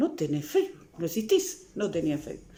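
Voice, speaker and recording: Speaking at a fairly quick pace, a woman moves through very wide pitch swings. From Uruguay, Montevideo (La Teja). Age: 60s. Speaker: psychologist and author. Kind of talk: interview.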